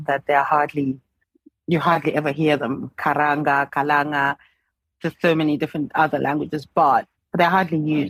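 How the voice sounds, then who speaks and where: The speech moves at a moderate pace with fairly even intonation. It sounds dry and close, with no echo. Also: woman. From Zimbabwe. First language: Ndebele. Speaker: writer and literature advocate. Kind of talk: casual interview conversation.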